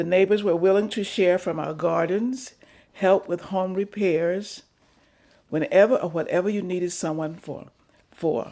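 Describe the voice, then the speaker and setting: Fairly slow speech from a woman with a Southern US accent, a dark, mellow tone, medium pitch and ordinary pitch variation. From North Carolina. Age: 80s+. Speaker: retired teacher. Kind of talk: oral history interview.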